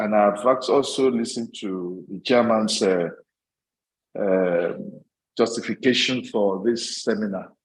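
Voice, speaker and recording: Speaking at a fairly slow pace with long, frequent pauses, a man talks in a fairly low pitch with fairly even intonation. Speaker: representative of an association president. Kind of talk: formal opening address to a professional seminar.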